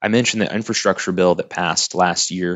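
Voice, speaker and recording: Fairly even in intonation, a man speaks in a very deep, low voice with an American accent. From Oklahoma. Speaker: cybersecurity consultant. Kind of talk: interview.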